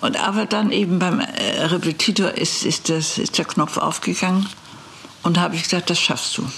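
Amid noticeable background noise, a woman keeps her loudness very even, speaking at a moderate pace and medium pitch with ordinary pitch variation. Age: 80s+. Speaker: lawyer and former justice minister. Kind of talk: interview. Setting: law office.

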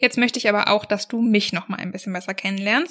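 Recorded very cleanly against a silent background, a woman talks fast in a medium pitch, with a fairly bright tone and fairly even intonation.

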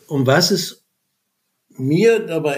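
A man speaks at a fairly high pitch with ordinary pitch variation. His pace is very slow. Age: 60s. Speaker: retired business economist and communication trainer. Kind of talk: personal testimony. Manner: halting.

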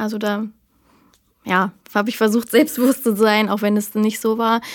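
This woman has a fairly high pitch. She talks at a moderate pace. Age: 30s. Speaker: podcast guest living with lipedema. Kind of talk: casual interview chat.

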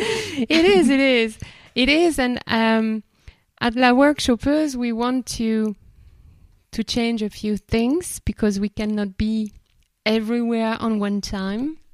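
At a very slow pace, a woman with a French accent speaks with ordinary pitch variation, the sound dry and close with no echo on a very clean recording with a silent background. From France, Bordeaux. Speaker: podcast host, facilitator. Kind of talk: casual chat.

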